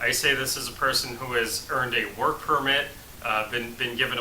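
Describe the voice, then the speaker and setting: Speaking at a moderate pace with an American accent, a man is heard through noticeable background noise and audible room echo. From United States. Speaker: relocation service founder. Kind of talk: talking-head explainer. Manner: hesitant with frequent uh fillers.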